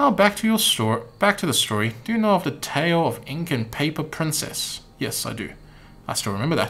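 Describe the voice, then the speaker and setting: A man with an American accent speaks at a fairly high pitch. His pitch swings very widely. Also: fairly quick pace. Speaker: video game streamer. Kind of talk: reading game dialogue aloud on a live stream. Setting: live stream.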